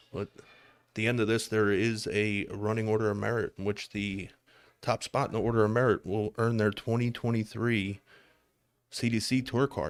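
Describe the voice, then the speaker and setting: Recorded very cleanly with a silent background and a dry, close sound without echo, a man with a Philadelphia accent speaks at a moderate pace in a fairly low, monotone, flat voice. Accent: Philadelphia city. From Philadelphia, US. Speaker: darts commentator. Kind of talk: live sports commentary. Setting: live stream at a darts tournament.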